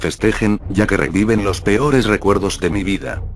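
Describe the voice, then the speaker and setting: A man of fairly low pitch at a moderate pace, with ordinary pitch variation and noticeable background noise. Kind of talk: ghost story narration, creepypasta read aloud.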